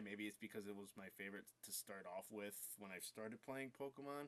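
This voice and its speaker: A man's fairly low voice moves through ordinary pitch variation. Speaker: gaming youtuber. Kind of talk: casual vlog. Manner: halting, filler words.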